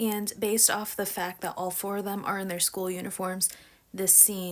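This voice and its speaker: Here a woman speaks with an American accent at a medium pitch. Her pace is moderate. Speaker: YouTuber and TikTok creator. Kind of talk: casual commentary video. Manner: animated.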